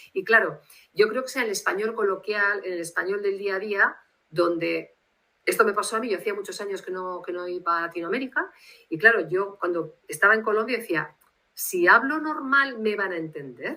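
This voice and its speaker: In a Basque accent, a woman speaks at a medium pitch and moderate pace. Her tone is bright and sharp, her intonation lively. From Spain, Bilbao (Basque Country). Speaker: literary translator. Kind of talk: interview. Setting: video call. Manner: formal.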